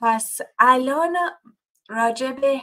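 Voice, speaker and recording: The pace is very slow as a woman talks. Her pitch shifts in an ordinary way. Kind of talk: casual introduction to Bible study. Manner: halting, with hesitations.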